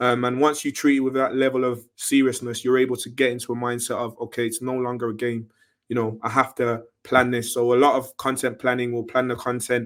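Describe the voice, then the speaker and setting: The speech moves at a fairly quick pace with hardly any pauses and a flat, monotone intonation. The recording is very clean, with a silent background. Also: man, medium pitch for a man. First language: French. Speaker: independent music artist. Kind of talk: interview.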